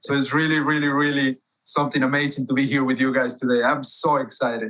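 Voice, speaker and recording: A man with a Spanish accent talks at a very fast pace in a fairly high voice. His intonation is monotone and flat, his loudness very even. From Ecuador, Cuenca. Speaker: author and publisher. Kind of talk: interview.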